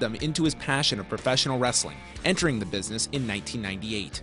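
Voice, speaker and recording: Music plays in the background as a man speaks at a very fast pace with lively intonation. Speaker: wrestling show host. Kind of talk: TV tribute narration.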